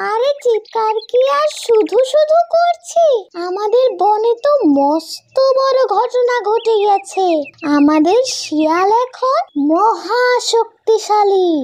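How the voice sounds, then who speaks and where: Extremely high pitch marks this cartoonish character voice. The pace is very slow. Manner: excited, loud.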